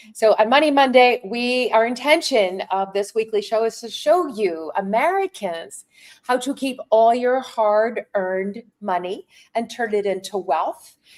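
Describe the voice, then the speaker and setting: A woman's fairly high voice with lively intonation at a fairly slow pace. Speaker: finance show host. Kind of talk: casual chat. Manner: halting.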